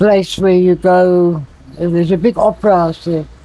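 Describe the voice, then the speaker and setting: Over noticeable background noise, a man talks in a high pitch at a moderate pace. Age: 70s. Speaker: harmonica player. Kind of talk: interview answer.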